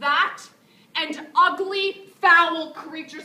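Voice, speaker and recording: With a bright, sharp tone, a woman projects a raised voice at an extremely high pitch, with ordinary pitch variation. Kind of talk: spoken word poetry performance. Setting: live stage performance. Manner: raw, intensely emotional.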